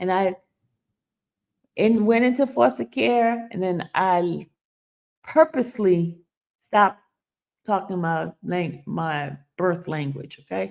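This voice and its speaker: The speaker talks at a very slow pace in a Haitian accent, with long, frequent pauses. The pitch swings very widely. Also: woman, medium pitch for a woman. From Haiti/Dominican family, raised in US from age 6 (Brooklyn). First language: Haitian Creole. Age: 50s. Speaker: YouTube commentator. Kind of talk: live stream commentary. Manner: animated.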